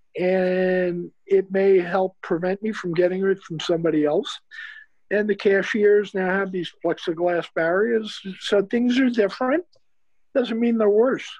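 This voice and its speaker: With a New York accent, a man speaks at a high pitch and a fairly slow pace with ordinary pitch variation against a quiet background. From New York City, the Bronx. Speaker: retired investment firm CEO; interview guest. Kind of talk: interview. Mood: reflective, hopeful. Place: home room.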